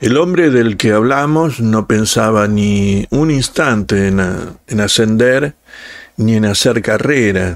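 Very slowly and in a solemn tone, a man speaks at a fairly low pitch with ordinary pitch variation. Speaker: audiobook narrator and channel host. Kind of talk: scripted narration, dramatic reading aloud of a literary story. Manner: slow, solemn, expressive, lamenting, with pauses; shifts into a curt, stern boss voice for quoted dialogue.

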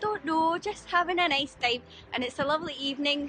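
Faint background noise sits behind a woman whose bright, sharp tone moves at a fairly quick pace.

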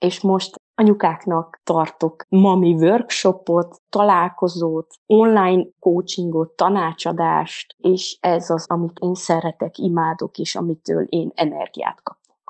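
A woman with a fairly low pitch at a very slow pace, fairly even intonation, hardly any pauses, a dry, close sound with no echo, and a quiet background. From Transylvania, Székely Land (Székelyudvarhely). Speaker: mothers' coach. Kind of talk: casual interview.

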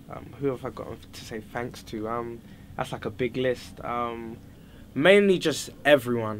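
With a London accent, a man speaks with big swings in loudness. Light background noise can be heard. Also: medium pitch for a man, ordinary pitch variation, moderate pace. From London, Fulham. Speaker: singer-songwriter; interviewee. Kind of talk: interview answers. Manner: casual, relaxed. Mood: cheerful, laughing. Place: home room.

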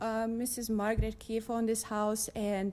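A woman with a non-native accent and a dark, mellow tone at a moderate pace, on a very clean recording with a silent background. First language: not English. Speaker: resident testifying at council meeting. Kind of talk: public testimony. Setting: city council chamber. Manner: reading from notes.

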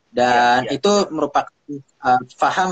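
Pitched fairly high, a man talks at a fairly quick pace with ordinary pitch variation. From Indonesia. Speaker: violinist and music producer; guest. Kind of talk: casual chat. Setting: video call. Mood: friendly, relaxed. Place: home room. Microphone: phone near.

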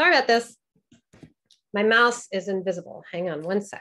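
A woman speaks at a fairly quick pace in a bright, sharp tone. Her loudness swings widely, with long, frequent pauses. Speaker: burlesque teacher. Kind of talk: online presentation with Q&A. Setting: video call. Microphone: video call.

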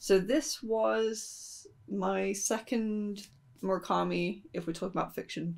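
A quiet woman's voice at a very slow pace. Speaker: book vlogger. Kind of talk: casual book review vlog.

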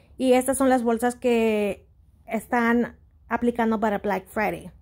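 A woman with a non-native accent speaks in a high voice. Her pace is fairly slow and her intonation fairly even. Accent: non-native Spanish, English-dominant. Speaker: YouTuber, shopping deals. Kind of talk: tutorial. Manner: halting.

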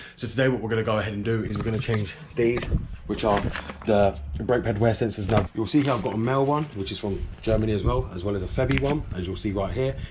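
Against noticeable background noise, a man with a fairly low pitch talks at a very fast pace with ordinary pitch variation. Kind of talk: casual vlog chat. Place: garage. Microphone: phone near.

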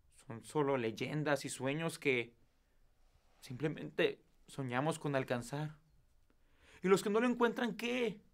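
A man's voice, fairly high in pitch, sounds tearful with very wide pitch swings. He speaks at a very slow pace with long, frequent pauses. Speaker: performer. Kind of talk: eulogy, farewell speech to mother, wife and daughter. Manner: tearful, choked with emotion, tender and pleading.

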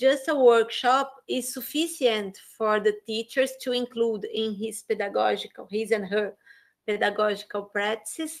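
Someone speaks at a fairly slow pace with a Portuguese accent against a quiet background. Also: woman. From Brazil. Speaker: education professor and interviewer. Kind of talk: interview. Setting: video call. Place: home room. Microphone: webcam.

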